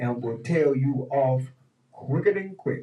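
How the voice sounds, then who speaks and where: Here a man speaks at a medium pitch and a fairly slow pace, his voice somewhat breathy. His tone is dark and mellow, and his intonation is lively. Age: 60s. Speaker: radio host. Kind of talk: casual chat. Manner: animated.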